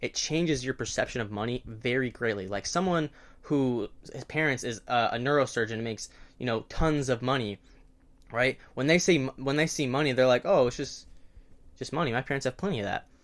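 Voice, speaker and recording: Here a man has an unremarkable speaking voice at a medium pitch with ordinary pitch variation. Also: fairly quick pace. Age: 18 or 19. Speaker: day trader and video creator. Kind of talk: casual advice monologue to camera. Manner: conversational with many fillers and self-corrections.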